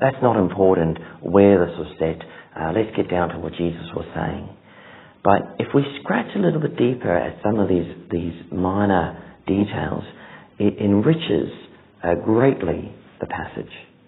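At a fairly slow pace, a man speaks with a very deep, low pitch. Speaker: preacher. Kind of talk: sermon. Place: church. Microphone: lapel.

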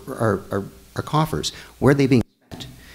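Very fast and with very wide pitch swings, a man talks in an American accent. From Chicago. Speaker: attorney and city council candidate; attorney, council candidate. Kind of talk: candidate forum debate. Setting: church hall with live audience. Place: hall. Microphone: podium.

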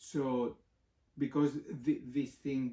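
A man with a Greek accent speaks at a medium pitch in a dark, mellow tone. There is audible room echo over a quiet background. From Greece. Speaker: professor. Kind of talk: interview. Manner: halting. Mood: thoughtful, explanatory. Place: home room. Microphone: camera far.

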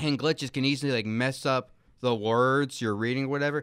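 A man's unremarkable speaking voice at medium pitch with ordinary pitch variation and a fairly quick pace, in a very clean recording with a silent background. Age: 20s. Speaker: college student. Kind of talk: casual chat. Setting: studio.

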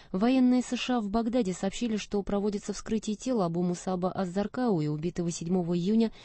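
A woman with a plain, everyday voice speaks at a medium pitch and a fairly quick pace, with ordinary pitch variation. The sound is dry with no echo, and the background is quiet. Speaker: newsreader. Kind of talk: news reading. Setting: studio.

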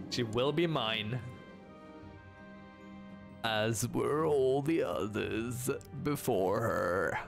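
Over clear background music, a man puts on a character voice at medium pitch, speaking at a very slow pace with long, frequent pauses. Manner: menacing, creepy.

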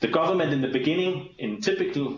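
A man speaks with a Danish accent. His pitch swings very widely. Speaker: diplomat. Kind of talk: briefing presentation. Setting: video call. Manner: fast talker.

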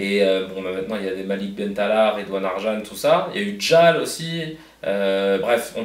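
A man's fairly low voice at a moderate pace, with audible room echo. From Paris, 19th arrondissement. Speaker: comedian. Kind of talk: casual interview. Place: office.

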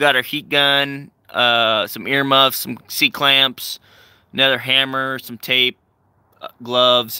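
Against a quiet background, a man talks at a fairly slow pace. The sound is dry, with no echo. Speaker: vlogger showing tools. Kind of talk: casual vlog chat. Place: street. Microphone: phone near.

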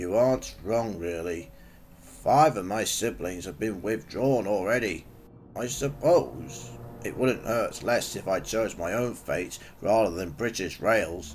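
A man uses a put-on character voice with a fairly low pitch, speaking at a fairly slow pace. Background noise is clearly heard. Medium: audio drama. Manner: modest, hesitant.

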